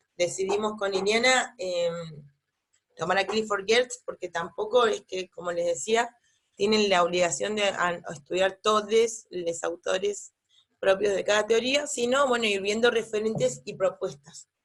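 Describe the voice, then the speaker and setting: At a fairly slow pace, a woman with a medium-pitched voice speaks with ordinary pitch variation. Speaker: university lecturer. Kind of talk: lecture. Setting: pre-recorded online class at home. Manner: hesitant, many fillers.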